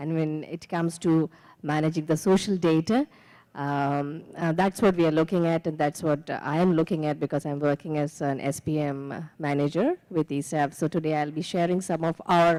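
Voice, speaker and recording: In a very clean recording with a silent background, a woman with an Indian accent talks at a moderate pace in a very deep, low pitch, her tone dark and mellow and the sound dry and close with no echo. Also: fairly even intonation. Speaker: microfinance manager. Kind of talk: conference panel introduction.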